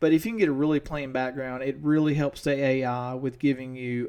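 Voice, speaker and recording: A man with an East Tennessee accent talks at a very fast pace with a medium pitch. His intonation is fairly even, and the recording is very clean with a silent background. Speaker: teacher. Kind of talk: tutorial.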